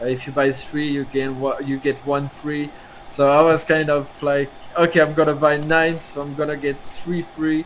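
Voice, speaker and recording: This man speaks with a French accent. His intonation is flat and monotone. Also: moderate pace. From France. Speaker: NFT platform founder. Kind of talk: interview. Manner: halting, many hesitations.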